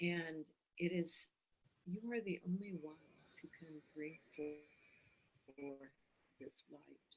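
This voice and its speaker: At a very slow pace, a soft-spoken woman with a fairly low pitch talks with ordinary pitch variation and big swings in loudness. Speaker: oracle priestess. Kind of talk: channeled spiritual message. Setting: live video stream.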